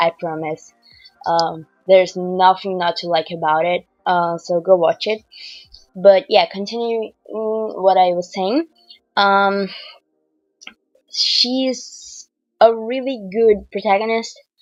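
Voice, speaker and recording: A woman speaks at a very slow pace with long, frequent pauses. Her medium pitch varies in an ordinary way over music in the background. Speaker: artist. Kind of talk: casual voiceover commentary on a speedpaint. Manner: hesitant, many fillers.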